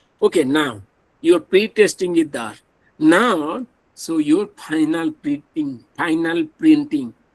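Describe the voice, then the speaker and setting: Speaking at a very slow pace, a man with a high pitch and an Odisha accent uses lively intonation. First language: Odia. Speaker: professor. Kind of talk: lecture.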